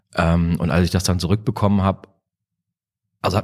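A man speaks at a very deep, low pitch in a very clean recording with a silent background. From Eifel, western Germany. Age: 40s. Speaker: rock guitarist. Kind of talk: interview. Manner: halting.

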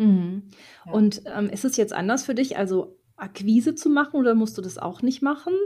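Her voice has a somewhat breathy quality. This woman's pitch is fairly high. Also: lively intonation, moderate pace. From Ruhr area, Germany. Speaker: podcast host and supervisor coach. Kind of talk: interview.

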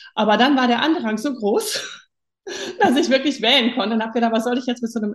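With ordinary pitch variation, the somewhat breathy speech runs at a fairly quick pace. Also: woman. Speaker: interview guest. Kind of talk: casual chat.

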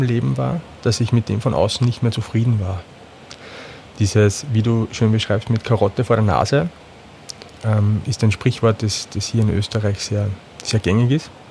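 At a moderate pace with long, frequent pauses, a man speaks at medium pitch with ordinary pitch variation, over noticeable background noise. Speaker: psychotherapist, former media sales manager. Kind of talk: interview conversation.

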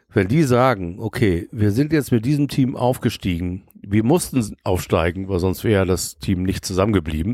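Here is a man with a plain, everyday voice, a fairly low pitch and lively intonation. He keeps a moderate pace and very even loudness, with hardly any pauses. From Hamburg. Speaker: DJ and podcaster, St. Pauli fan. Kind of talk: casual chat. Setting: recording in a shop with beer.

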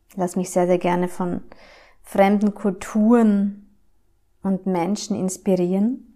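A woman at medium pitch, very slow with long, frequent pauses, monotone and flat in a dark, mellow tone, in a very clean recording with a silent background. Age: 30s. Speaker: ayurveda mentor and podcast host. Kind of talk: personal introduction monologue.

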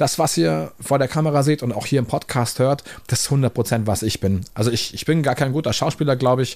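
A man talks at a medium pitch, and his pitch varies in an ordinary way. The background is silent and the recording very clean. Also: fairly quick pace. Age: 40s. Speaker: YouTuber and podcaster. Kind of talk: casual monologue podcast. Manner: hesitant fillers.

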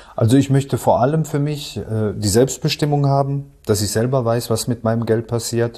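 Somewhat breathy and with a dark, mellow tone, a man speaks at a fairly quick pace in a medium pitch with ordinary pitch variation. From Baden, Karlsruhe area (southwest Germany). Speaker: self-employed retailer and trading client. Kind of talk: interview testimonial.

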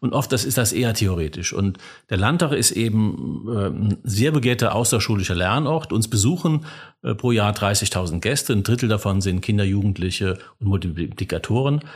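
A somewhat breathy, fairly low male voice with lively intonation at a moderate pace, on a very clean recording with a silent background. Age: 50s. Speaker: civic education officer. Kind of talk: interview.

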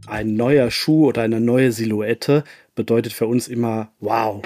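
Music plays in the background as a man speaks at medium pitch. His pace is moderate and his intonation fairly even. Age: 30s. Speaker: head of social media team. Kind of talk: casual interview. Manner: frequent hesitations and fillers.

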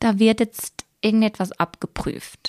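Recorded very cleanly against a silent background, a woman's voice sounds dry and close, with no echo. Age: 30s. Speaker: sex educator and podcast host. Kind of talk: educational podcast monologue.

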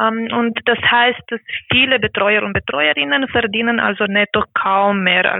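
A woman with a Romanian accent talks at a medium pitch. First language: Romanian (speaking German). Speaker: care worker activist. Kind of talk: interview.

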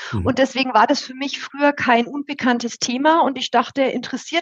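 Fairly even intonation in a woman's high voice, moving at a moderate pace. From Upper Franconia, Bayreuth. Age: 30s. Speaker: partner management head at a broker network. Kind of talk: casual interview. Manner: trained clear speech.

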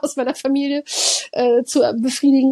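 A woman's dark, mellow voice at a moderate pace, with a dry, close sound with no echo. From Rhineland, Germany. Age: 40s. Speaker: creative workshop trainer. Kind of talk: casual chat.

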